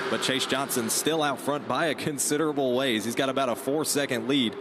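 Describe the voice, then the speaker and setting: A man talks in a fairly high voice. Noticeable background noise runs behind him. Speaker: racing play-by-play announcer. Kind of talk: live sports play-by-play commentary. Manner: fast, energetic.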